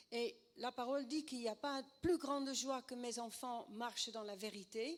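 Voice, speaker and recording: With a slight Dutch accent, a woman talks at a very slow pace in a high voice with ordinary pitch variation. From Netherlands. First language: Dutch (speaking French). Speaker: preacher, former actress. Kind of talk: sermon.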